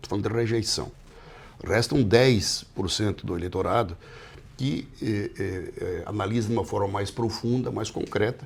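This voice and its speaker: At a moderate pace, a man speaks in a normal speaking voice, fairly low in pitch with ordinary pitch variation. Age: 60s. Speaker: politician. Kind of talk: interview. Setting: office.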